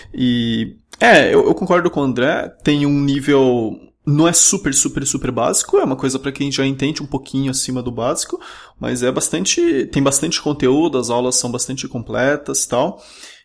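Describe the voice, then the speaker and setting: A man speaks in an ordinary speaking voice, pitched fairly high, with ordinary pitch variation. His pace is moderate. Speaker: podcast host. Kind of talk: interview. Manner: casual.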